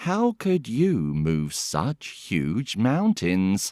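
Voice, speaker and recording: A man with a fairly low pitch and a dark, mellow tone speaks at a very slow pace, captured in a dry, close sound with no echo on a very clean recording with a silent background. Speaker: actor, voice artist and host. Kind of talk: read story for language learners. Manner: very slow, clear.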